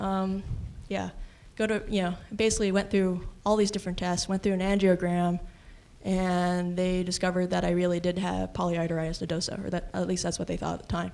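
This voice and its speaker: A voice with a dark, mellow tone and an American accent speaks in monotone, flat intonation on a very clean recording with a silent background. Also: woman, medium pitch for a woman, fairly quick pace. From US West Coast, Los Angeles. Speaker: patient sharing experience. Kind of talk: testimony. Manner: casual, filler-heavy.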